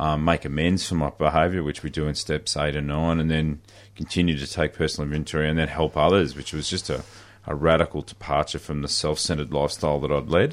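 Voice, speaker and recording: A man with an Australian accent speaks fairly quickly in a very deep, low voice with vocal fry. His intonation is monotone and flat. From country Victoria, Australia. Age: 40s. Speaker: recovering alcoholic. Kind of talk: personal testimony. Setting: radio studio.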